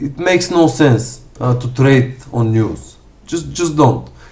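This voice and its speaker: A somewhat breathy man with a strong Bulgarian accent, fairly high in pitch, at a fairly slow pace with audible room echo. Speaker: forex trader. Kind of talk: live stream commentary and Q&A. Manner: halting, many fillers.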